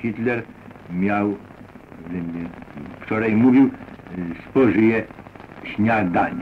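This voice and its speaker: A man's fairly low, fairly even voice at a very slow pace, with long, frequent pauses over light background noise. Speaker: army officer, head of propaganda. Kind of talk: wartime radio address. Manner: informal, ironic, with hesitations. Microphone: old recording.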